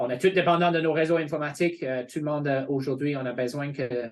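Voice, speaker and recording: At a moderate pace, a man speaks in a fairly high pitch with fairly even intonation. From England. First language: English (speaking French). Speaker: college representative. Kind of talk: informational webinar presentation. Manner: hesitant, many fillers.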